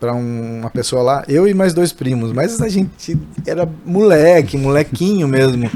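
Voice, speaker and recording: A man talks at a fairly slow pace with a dark, mellow tone. His fairly high pitch moves with lively intonation. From interior of São Paulo state, Brazil. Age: 40s. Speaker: barbershop owner. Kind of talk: podcast interview. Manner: halting, many false starts.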